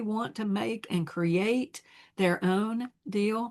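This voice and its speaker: An unremarkable speaking voice with an American accent shows ordinary pitch variation against a quiet background. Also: woman. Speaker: scrapbooking sales advisor. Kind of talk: product demonstration. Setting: home.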